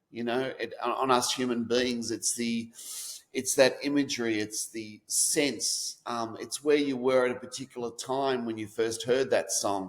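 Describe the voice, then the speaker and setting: Fairly even intonation from a man with an Australian accent. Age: 50s. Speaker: author. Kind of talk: interview.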